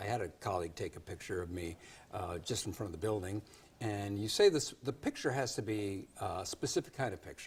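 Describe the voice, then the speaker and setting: This man's voice is fairly low and somewhat breathy. He talks at a fairly quick pace with ordinary pitch variation. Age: 60s. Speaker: news show host. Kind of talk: TV interview.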